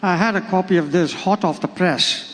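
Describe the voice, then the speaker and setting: A man's high voice with fairly even intonation against noticeable background noise. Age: 80s+. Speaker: book launch speaker. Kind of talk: speech at a book launch.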